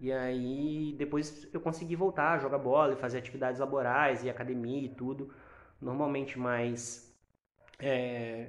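This man speaks at a fairly slow pace and a fairly high pitch. Audible room echo is present. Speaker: podcast co-host, insurance broker. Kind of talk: casual chat.

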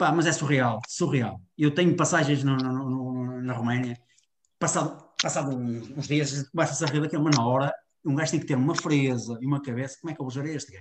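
Somewhat breathy speech keeps a fairly even intonation. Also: man, fairly high pitch for a man, fairly quick pace. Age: 50s. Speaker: football coach. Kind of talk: interview.

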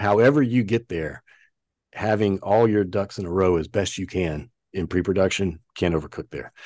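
With an American accent, a man in a plain, everyday voice speaks at a moderate pace, his fairly low pitch showing ordinary variation, in a dry, close sound with no echo over a quiet background. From US South. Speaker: creative director. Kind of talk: interview conversation.

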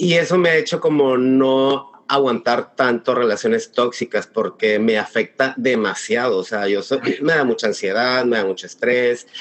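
A man speaks at a fairly slow pace with hardly any pauses, in an unremarkable speaking voice. His pitch is medium, with ordinary pitch variation. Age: 30s. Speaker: wedding planner. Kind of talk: casual chat.

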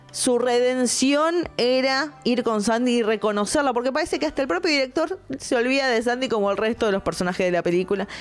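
With noticeable background noise behind her, a woman speaks fairly quickly in a fairly high voice with lively intonation. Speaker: film critic podcaster. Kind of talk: casual film review monologue.

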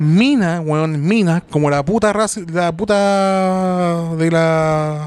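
With a Chilean accent, a man speaks at a very slow pace and a high pitch. His pitch varies in an ordinary way. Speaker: podcast host. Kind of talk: casual chat.

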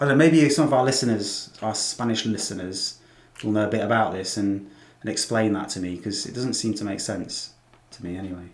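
A man with an English Midlands accent talks at a fairly quick pace. His pitch is fairly low, with ordinary variation. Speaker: English academy owner and podcast co-host. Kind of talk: casual chat.

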